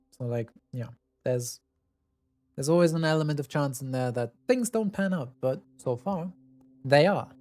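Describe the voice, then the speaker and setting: A man speaks with a German accent at a fairly high pitch and a moderate pace. His intonation is lively, with long, frequent pauses. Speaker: streamer. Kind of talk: casual chat.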